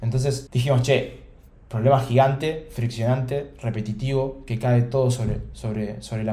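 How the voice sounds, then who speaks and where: A man talks at a moderate pace and medium pitch, his tone dark and mellow and somewhat breathy. His intonation stays fairly even, with audible room echo around him. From Argentina, Buenos Aires. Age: 20s. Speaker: startup founder. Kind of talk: interview conversation.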